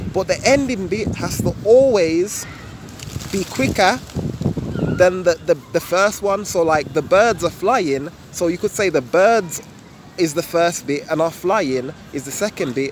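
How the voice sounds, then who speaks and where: A man with a Birmingham accent, high pitch and lively intonation, at a fairly slow pace, over noticeable background noise. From England, Birmingham. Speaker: YouTuber. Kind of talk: casual vlog explanation. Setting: outdoors. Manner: casual, relaxed.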